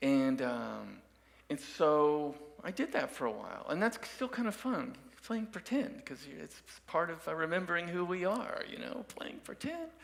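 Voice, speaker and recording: Over noticeable background noise, a high-pitched man talks at a moderate pace, his pitch swinging very widely and his loudness shifting a lot. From Dallas, Texas (Oak Cliff). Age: 60s. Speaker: musician and guest speaker. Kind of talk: sermon with personal story. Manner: halting, many fillers.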